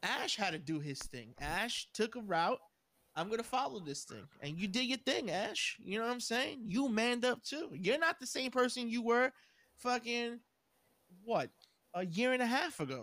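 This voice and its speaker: Speaking at a moderate pace, a man uses an extremely high pitch with very wide pitch swings and a bright, sharp tone. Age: 30s. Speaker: podcast co-host. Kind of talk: casual chat. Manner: animated.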